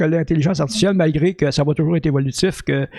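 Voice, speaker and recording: A man's voice with vocal fry and ordinary pitch variation. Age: 60s. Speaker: podcast host. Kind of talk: casual chat. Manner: hesitant, many fillers.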